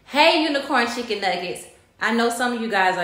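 A woman talks at a very fast pace, with audible room echo. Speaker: vlogger. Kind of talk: casual vlog chat. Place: kitchen. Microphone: phone near.

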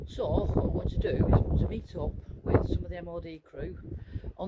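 A man talks over loud background noise. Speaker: van owner vlogger. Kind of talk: casual vlog chat. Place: street. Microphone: phone near.

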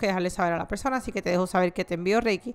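Her pitch varies in an ordinary way as this woman speaks. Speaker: tarot reader. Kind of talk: tarot reading monologue, casual direct address. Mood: warm, friendly.

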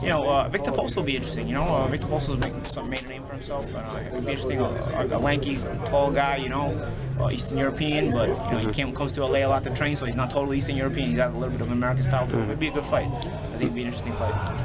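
Over clear background music, a man talks very fast with ordinary pitch variation. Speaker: boxing commentator. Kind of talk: casual commentary. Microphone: phone near.

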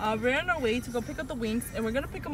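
Noticeable background noise sits under the voice. Pitch varies in an ordinary way, and the sound is dry with no echo. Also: woman. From Mexico. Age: 20s. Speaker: former restaurant server. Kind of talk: casual talk to camera. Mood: cheerful, upbeat. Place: car. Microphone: phone near.

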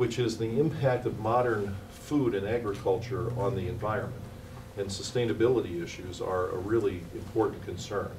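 A man at a moderate pace with fairly even intonation, over noticeable background noise. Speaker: invited lecturer. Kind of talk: lecture. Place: hall. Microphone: podium.

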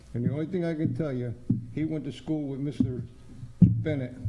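The voice is somewhat breathy, with a dark, mellow tone and ordinary pitch variation at a moderate pace. Audible room echo surrounds it. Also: man. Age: 80s+. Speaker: resident speaking at public comment. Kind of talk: public comment at a town meeting. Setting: township board meeting room.

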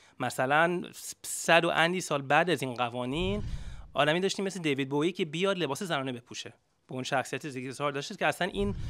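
A man speaks at a very fast pace with lively intonation. His tone is bright and sharp, his pitch fairly high. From United States. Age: 30s. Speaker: activist. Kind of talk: panel debate. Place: shop. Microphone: handheld.

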